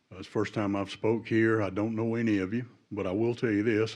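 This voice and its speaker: A man talks at a fairly quick pace. His voice is fairly low, with monotone, flat intonation. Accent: Southern US. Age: 70s. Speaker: retired public safety worker speaking at public hearing. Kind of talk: public comment at hearing.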